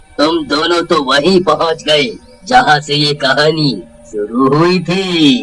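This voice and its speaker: Using a cartoonish character voice, a man speaks fairly high and at a fairly slow pace. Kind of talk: comic horror cartoon villain. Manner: menacing, laughing.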